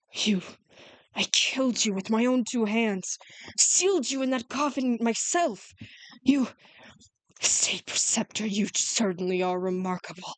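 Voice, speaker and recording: A woman puts on a strained character voice, fairly high-pitched, with lively intonation at a moderate pace. Long pauses come often, and the sound is dry and close with no echo. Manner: furious, despairing, hateful.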